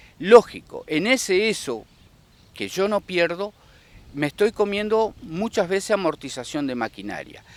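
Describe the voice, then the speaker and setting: A man's high-pitched voice, fairly slow in pace, with lively intonation and a dry, close sound with no echo. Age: 60s. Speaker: rice farmer. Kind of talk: interview. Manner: halting.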